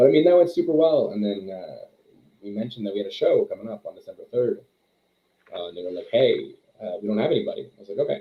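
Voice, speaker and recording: A man talks at a very fast pace. His loudness swings widely. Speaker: pro wrestling coach and producer. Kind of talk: casual chat.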